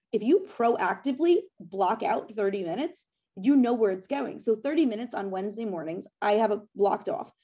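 A woman speaks with a dark, mellow tone. Her pitch is fairly high and her intonation lively. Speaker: productivity coach. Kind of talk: interview. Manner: fast.

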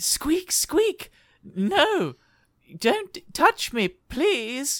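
In a put-on character voice, a man speaks at an extremely high pitch with very wide pitch swings. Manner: pleading, scared.

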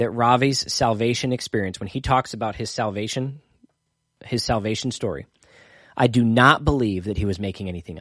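Here a man talks at a medium pitch. The background is quiet. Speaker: pastor and Bible study livestream host. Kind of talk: livestream Bible study talk. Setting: livestream with live chat comments. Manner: casual, rambling with fillers.

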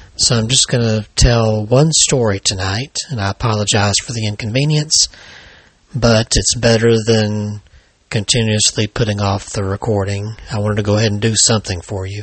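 Somewhat breathy, the voice carries an American accent and fairly even intonation. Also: man, fairly low pitch for a man, moderate pace. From Alabama, US South. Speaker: paranormal author and podcast host. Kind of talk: scripted true-crime horror narration, read aloud as a ghost story.

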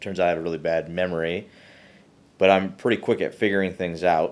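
Speaking with an Upper Midwest accent, a man uses a very deep, low pitch and fairly even intonation. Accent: Upper Midwest American. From Michigan. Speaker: geoscience professor. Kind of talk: interview.

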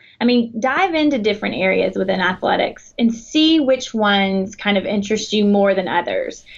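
Speaking in a Southern US accent, a woman uses lively intonation and a somewhat breathy, fairly high voice at a moderate pace. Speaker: athletic academic advisor. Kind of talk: interview. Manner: halting.

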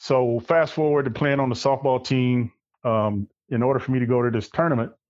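With an Arkansas accent, this man talks at a moderate pace in a medium pitch, his pitch varying in an ordinary way. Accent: US South (Arkansas). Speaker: military veteran. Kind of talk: casual interview. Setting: phone or video call.

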